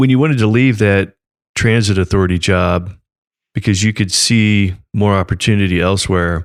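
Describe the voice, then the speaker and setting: A man's fairly low, plain, everyday voice with ordinary pitch variation, on a very clean recording with a silent background. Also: moderate pace, very even loudness. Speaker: podcast host. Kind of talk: podcast interview host.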